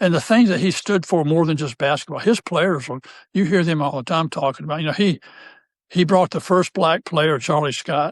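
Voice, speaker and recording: Speaking at a fairly quick pace with ordinary pitch variation, a man with a North Carolina accent sounds dry and close with no echo against a quiet background. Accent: Southern US (North Carolina). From US South, North Carolina. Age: 70s. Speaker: retired basketball coach. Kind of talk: casual interview chat. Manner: halting.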